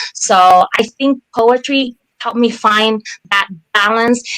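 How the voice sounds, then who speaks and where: A woman speaks with a Spanish accent in a fairly high pitch. Her tone is bright and sharp, and her intonation stays fairly even. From Dominican Republic and US. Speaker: poet. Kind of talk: panel discussion.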